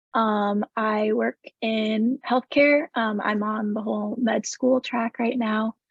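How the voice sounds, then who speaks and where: A woman with an American accent has a normal speaking voice, pitched fairly high, with fairly even intonation. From US Pacific Northwest, Seattle area. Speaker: panelist with a rare skin condition. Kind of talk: live panel Q&A.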